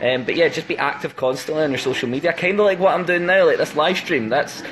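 A man with a Scottish accent in a playful tone, over light background noise. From Scotland, Paisley/Glasgow area. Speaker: band member doing an Instagram live stream. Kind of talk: casual livestream chat answering fan questions. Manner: joking, playful, chatty. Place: home room. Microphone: phone near.

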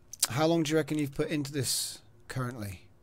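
Speaking at a fairly quick pace with fairly even intonation, a man has an ordinary speaking voice. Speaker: gaming channel host. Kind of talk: casual chat.

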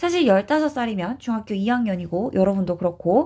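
A woman is speaking. Her pitch swings very widely. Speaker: English teacher. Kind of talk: lecture.

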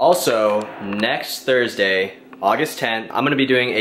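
The speaker talks at a fairly slow pace with fairly even intonation over light background noise. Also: man. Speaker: fitness vlogger. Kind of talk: casual vlog chat. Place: kitchen. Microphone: phone near.

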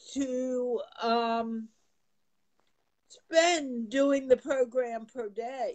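A woman talks at a very slow pace with a high pitch and ordinary pitch variation.

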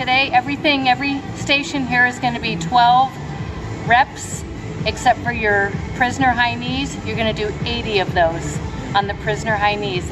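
With clear music in the background, a woman speaks at a moderate pace with ordinary pitch variation. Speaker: fitness instructor. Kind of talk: tutorial. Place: gym.

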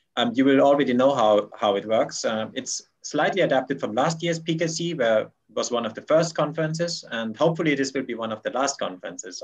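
Against a quiet background, a man with fairly high pitch and vocal fry talks at a moderate pace with lively intonation. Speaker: conference organizer. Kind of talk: conference announcements. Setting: video call. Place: home room. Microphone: webcam.

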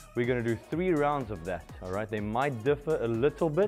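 Faint music sits behind a man speaking at a moderate pace. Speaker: fitness instructor. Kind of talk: workout class instruction. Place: gym. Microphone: headset.

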